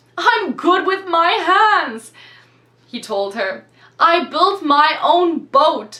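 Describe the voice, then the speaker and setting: A woman's put-on character voice, extremely high and swinging very widely in pitch, at a very slow pace. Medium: read story. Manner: warm, easygoing salesman.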